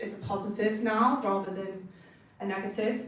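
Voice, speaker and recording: Amid noticeable background noise and audible room echo, a woman speaks at a medium pitch in a monotone, flat intonation. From northern England. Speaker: designer. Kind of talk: talk to students. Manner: casual.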